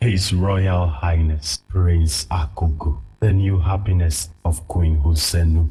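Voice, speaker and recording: In a very deep, low voice, a man talks fairly slowly. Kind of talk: solemn legend narration. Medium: short film. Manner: grave, measured.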